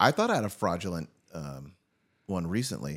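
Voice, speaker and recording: Speaking at a fairly quick pace, a man uses vocal fry while his pitch swings very widely. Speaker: podcast host. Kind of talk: casual chat. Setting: studio.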